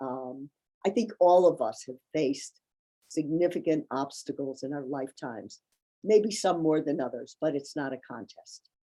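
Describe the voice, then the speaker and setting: Lively intonation marks a woman's very deep, low voice with a dark, mellow tone. She talks at a moderate pace, the sound dry and close with no echo. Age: 70s. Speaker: honoree, activist. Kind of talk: interview.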